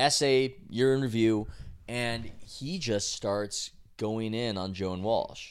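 Over a silent background in a very clean recording, a man with an American accent speaks at a very slow pace with fairly even intonation. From San Diego, California. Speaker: sports journalist and podcast co-host. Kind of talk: casual chat.

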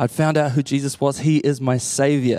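A man of medium pitch speaks with a New Zealand accent in an animated tone at a moderate pace. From New Zealand, Waikato (Matamata). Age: 30s. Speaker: associate pastor. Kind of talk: sermon.

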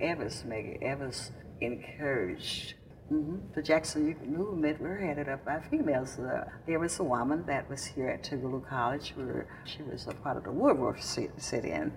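With a Mississippi accent, a woman speaks at a moderate pace in a very deep, low, somewhat breathy voice with lively intonation, and room echo is audible. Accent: Southern US, Mississippi. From Mississippi, US South. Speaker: civil rights veteran. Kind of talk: oral history interview. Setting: recorded in Jackson, Mississippi. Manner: halting.

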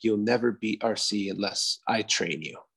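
This is a put-on character voice. It keeps a moderate pace and fairly even intonation. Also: man, medium pitch for a man. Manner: dead serious.

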